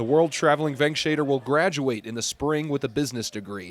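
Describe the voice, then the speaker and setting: A man with an unremarkable speaking voice, ordinary pitch variation, and a fairly quick pace. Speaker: sports anchor and reporter. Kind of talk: TV feature story voiceover narration.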